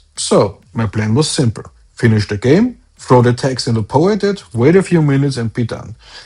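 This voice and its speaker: In a German accent, a man speaks at a moderate pace with lively intonation and a somewhat breathy voice. The background is quiet. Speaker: solo indie game developer, video blogger. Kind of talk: video diary update.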